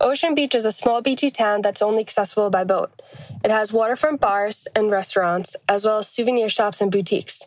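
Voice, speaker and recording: Over noticeable background noise, a woman with an American accent talks at a fairly quick pace in a fairly high voice, her pitch varying in an ordinary way and her loudness staying very even. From Long Island, New York. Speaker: listener contributor. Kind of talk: reading aloud.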